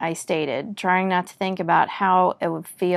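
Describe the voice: The text is read aloud plainly, and the intonation stays fairly level.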